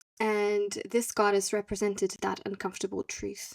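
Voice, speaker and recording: A woman with a non-native accent and fairly high pitch speaks at a fairly slow pace in a dry, close recording with no echo. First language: not English. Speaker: podcast host. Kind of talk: solo podcast monologue. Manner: hesitant, with self-corrections.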